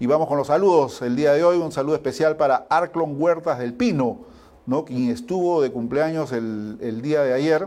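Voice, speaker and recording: This man has a fairly high pitch and a dark, mellow tone, speaking at a moderate pace with lively intonation. The recording is very clean, with a silent background. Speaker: sports show host. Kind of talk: news reading.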